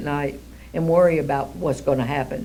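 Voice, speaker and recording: A woman speaks, with audible room echo. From Kentucky, Louisville. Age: 80s+. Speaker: charity founder. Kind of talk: interview.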